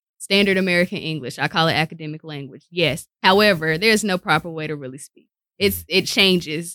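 An animated voice with big swings in loudness, at a fairly quick pace and with ordinary pitch variation. The tone is bright and sharp, the sound dry and close with no echo, on a very clean recording with a silent background. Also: woman, fairly low pitch for a woman. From North Carolina, Winston-Salem. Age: 30s. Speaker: radio personality and professor. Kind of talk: casual interview chat. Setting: radio station studio.

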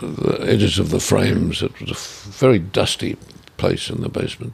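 An Australian accent over noticeable background noise. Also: man. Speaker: artist. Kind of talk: interview.

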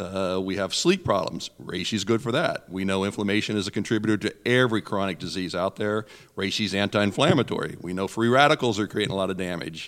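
In an ordinary speaking voice, a man talks with hardly any pauses, a fairly low pitch and ordinary pitch variation, on a very clean recording with a silent background. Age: 60s. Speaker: natural products expert and herbalist. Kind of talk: radio interview.

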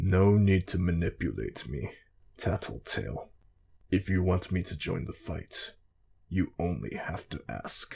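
A man's put-on character voice, very deep and low, rumbling and growling at a fairly slow pace. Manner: curt, cold.

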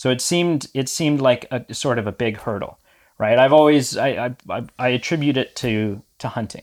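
The recording is very clean, with a silent background. A man talks at a moderate pace and medium pitch, with ordinary pitch variation. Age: 20s. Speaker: new naturist, youth worker and podcaster. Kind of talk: interview. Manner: halting.

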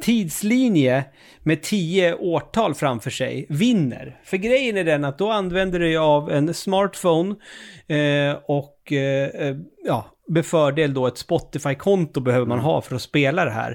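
An unremarkable speaking voice moves at a fairly slow pace with lively intonation, captured in a very clean recording with a silent background. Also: man, fairly high pitch for a man. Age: 40s. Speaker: video game podcast host. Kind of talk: casual chat.

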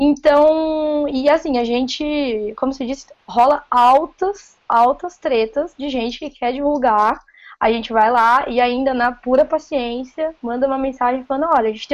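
In a caipira accent, a woman speaks at a high pitch with ordinary pitch variation. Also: quiet background. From interior of São Paulo state (Paulínia). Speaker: food engineer and novice writer. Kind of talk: casual chat.

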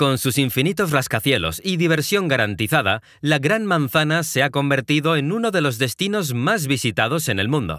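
A man talks at a moderate pace with a bright, sharp tone and a fairly high pitch. His voice moves in very wide pitch swings. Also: very clean recording, silent background. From Mexico, Guadalajara. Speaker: travel storyteller. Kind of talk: scripted narration.

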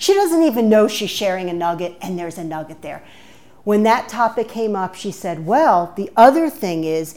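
A woman with a New York accent and a medium pitch. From New York (Bronx) until ten, then Maryland. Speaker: nonprofit consultant. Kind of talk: interview. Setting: studio.

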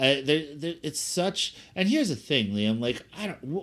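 A man speaks at a fairly slow pace with very wide pitch swings on a very clean recording with a silent background. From South Jersey (Cherry Hill), US. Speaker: podcast co-host. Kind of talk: casual chat.

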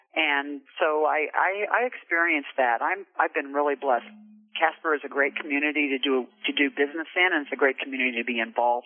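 In an American accent, a woman speaks at a fairly quick pace. Her pitch is very deep and low, with ordinary variation. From Kansas, US Midwest. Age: 60s. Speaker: insurance agent, business owner. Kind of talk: interview. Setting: phone call.

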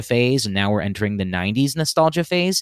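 A man with an American accent is heard in a very clean recording with a silent background, the sound dry and close with no echo. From Los Angeles, US. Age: 20s. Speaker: actor and podcaster. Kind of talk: casual chat.

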